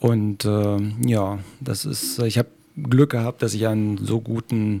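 This man speaks at a medium pitch. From Lower Saxony, Schaumburg area. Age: 50s. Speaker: taekwondo trainer and husky sled dog musher. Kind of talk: casual interview. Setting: studio.

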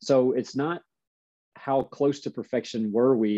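A man has a normal speaking voice at medium pitch. His intonation stays fairly even. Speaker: basketball coach. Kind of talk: casual interview chat.

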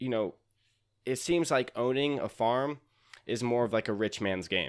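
A man with an American accent and an unremarkable speaking voice, medium pitch, ordinary pitch variation and a fairly slow pace, in a very clean recording with a silent background. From North Carolina, Raleigh. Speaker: podcaster and accountant. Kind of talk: casual chat.

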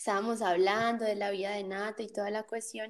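A woman is speaking. Her voice is fairly high in pitch. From Colombia, Cali area (Jamundí, Valle del Cauca). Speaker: podcast host. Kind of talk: casual chat. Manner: animated.

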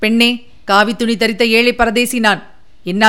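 This clip has a natural reading voice.

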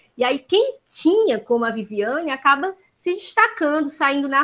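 Someone with a Ceará accent talks at a moderate pace in a bright, sharp tone. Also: woman. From Brazil, Ceará. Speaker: occupational therapist. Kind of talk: casual remarks.

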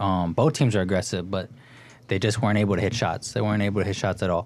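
A man's voice, fairly low in pitch. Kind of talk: sports analysis chat on student radio. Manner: animated, enthusiastic fan-like tone with filler words.

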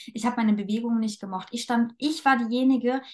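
A woman speaks in a normal speaking voice at a fairly quick pace, her fairly high pitch carried on fairly even intonation. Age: 20s. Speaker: dance teacher and coach. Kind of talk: casual chat.

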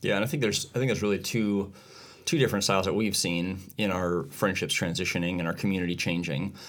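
A man with a fairly low pitch speaks at a very fast pace amid audible room echo. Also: ordinary pitch variation. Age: 40s. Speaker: podcast co-host. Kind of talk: casual chat.

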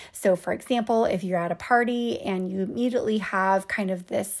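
A woman's normal speaking voice, a normal speaking voice at medium pitch, with a moderate pace, on a very clean recording with a silent background. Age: 30s. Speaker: wellness podcast host and coach. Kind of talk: solo podcast monologue.

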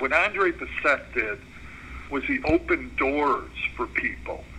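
A man with an American accent, fairly slow speech, and noticeable background noise. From Chicago, northwest side. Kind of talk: mentoring talk on conference call. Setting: phone/conference call.

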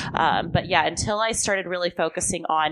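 A woman with a fairly low pitch at a moderate pace. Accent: Californian. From US West Coast, Southern California. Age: 20s. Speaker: strength and conditioning coach. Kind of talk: casual interview chat. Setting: in person, sit-down recording.

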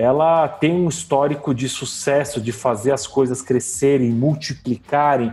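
Music plays in the background as a man speaks. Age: 40s. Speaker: HR director. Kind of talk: casual interview.

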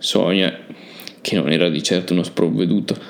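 In a dramatic tone, a man with a very deep, low pitch speaks at a fairly quick pace. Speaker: podcast host and narrator.

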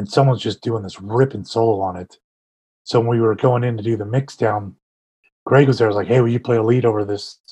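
A man with an American accent, medium pitch, monotone, flat intonation and a fairly quick pace. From California Bay Area. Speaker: punk musician and stage manager.

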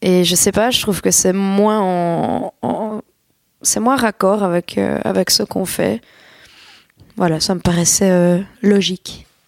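Talking at a very slow pace with long, frequent pauses, a woman keeps a medium pitch, ordinary pitch variation and very even loudness. The sound is dry and close, with no echo. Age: 20s. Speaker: singer. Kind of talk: interview.

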